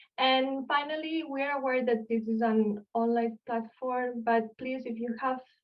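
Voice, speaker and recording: A woman speaks with a Spanish accent at a fairly slow pace. Her fairly high voice has a monotone, flat intonation. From Spain, Barcelona. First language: Spanish or Catalan. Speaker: archaeologist. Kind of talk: lecture. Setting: online video call.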